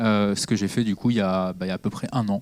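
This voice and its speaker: A man with a fairly low pitch is heard on a very clean recording with a silent background. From Normandy, France (Caen, Calvados). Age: 30s. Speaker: politician. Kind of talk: public talk. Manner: halting, many fillers.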